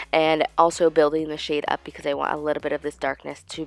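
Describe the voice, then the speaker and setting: Music plays behind a woman whose pitch is very deep and low, at a fairly quick pace. The sound is dry and close with no echo. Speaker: beauty vlogger. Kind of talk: makeup tutorial.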